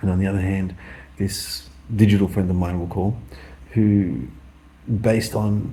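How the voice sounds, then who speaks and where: A man's mumbling, somewhat breathy voice, fairly low and dark and mellow, with an Australian accent, a fairly slow pace, ordinary pitch variation and audible room echo. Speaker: vlogger. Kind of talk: casual monologue.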